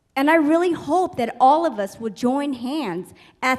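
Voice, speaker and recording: Here a woman speaks. Her intonation is lively. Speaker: community member in audience. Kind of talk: heated public forum statement. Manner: loud, boisterous.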